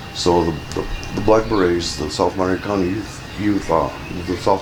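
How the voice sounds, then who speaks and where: Against noticeable background noise, a man with an American accent speaks at a moderate pace in a very deep, low voice. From California. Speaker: Chicano movement activist. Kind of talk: oral history interview answer. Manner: casual, hesitant.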